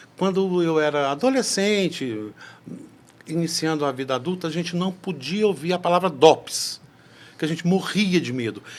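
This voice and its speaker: Lively in intonation, a man with a high pitch speaks at a moderate pace. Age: 60s. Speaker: podcast host. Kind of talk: interview conversation.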